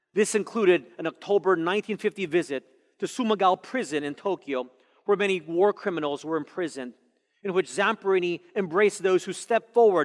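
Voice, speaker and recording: Against a quiet background, a man talks at a fairly quick pace in a high pitch with ordinary pitch variation. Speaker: pastor. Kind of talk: sermon. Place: church. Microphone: headset.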